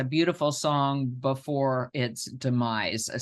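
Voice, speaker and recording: A woman with an American accent talks at a very slow pace. Her pitch is very deep and low, and the background is quiet. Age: 70s. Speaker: physician and professor. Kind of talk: lecture.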